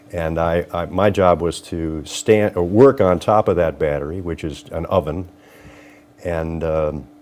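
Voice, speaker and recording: With a Northern Ohio accent, a man speaks at a fairly slow pace in a very deep, low voice. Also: ordinary pitch variation. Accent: Northern Ohio American. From Lorain, Ohio. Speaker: judge and trial attorney. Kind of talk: interview answer.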